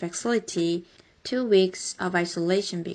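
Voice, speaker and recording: A woman speaks with a Korean accent at a medium pitch. Her intonation stays fairly even. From South Korea. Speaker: college news videographer. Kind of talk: video narration.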